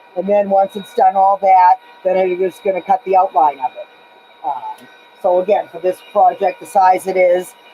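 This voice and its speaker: A woman with an American accent at medium pitch, moderate pace and flat, monotone intonation, with big swings in loudness, a dry, close sound with no echo, and noticeable background noise. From Massachusetts, USA. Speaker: leather craftsperson. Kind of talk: live demonstration talk to camera. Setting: workshop with loud machine noise. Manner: casual, hesitant.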